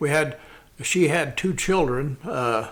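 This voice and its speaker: Pacing fairly slowly, a man speaks with a Midwestern US accent. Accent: rural Midwestern American. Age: 70s. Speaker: Vietnam War veteran and small-town businessman. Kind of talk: casual interview conversation. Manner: talkative.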